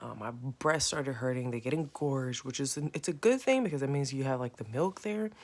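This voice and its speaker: Quiet and very deep in pitch, a woman speaks at a moderate pace with lively intonation. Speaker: vlogger, new mother. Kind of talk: casual vlog. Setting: at home next to sleeping baby. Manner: casual, filler-heavy; trying to speak quietly.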